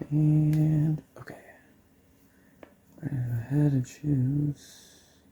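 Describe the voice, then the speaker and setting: A man is whispering in a somewhat breathy way. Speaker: gaming tutorial youtuber. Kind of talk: tutorial. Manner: casual, with fillers.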